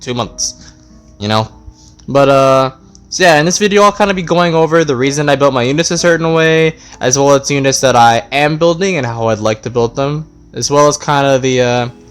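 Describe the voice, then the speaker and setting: With music in the background, a man talks fairly quickly at a fairly high pitch and ordinary pitch variation. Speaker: gaming YouTuber. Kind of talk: casual gameplay commentary.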